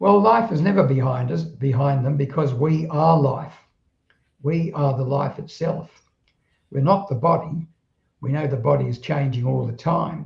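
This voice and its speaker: A man with a fairly high pitch speaks in a somewhat breathy voice at a moderate pace. He uses ordinary pitch variation and leaves long, frequent pauses. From southeast London, England. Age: 80s+. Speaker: spiritual author. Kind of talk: interview conversation. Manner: halting, with repetitions.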